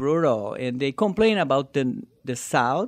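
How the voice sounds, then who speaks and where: Lively intonation and a moderate pace mark this speaker with a Brazilian accent. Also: man. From southern Brazil. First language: Portuguese. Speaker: amateur stand-up comedian. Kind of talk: casual interview.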